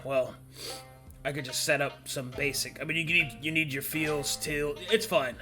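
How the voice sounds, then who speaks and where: With clear music in the background, a man uses a raspy, put-on character voice at a fairly high pitch and a moderate pace. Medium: actual play. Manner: casual, hesitant, lots of filler.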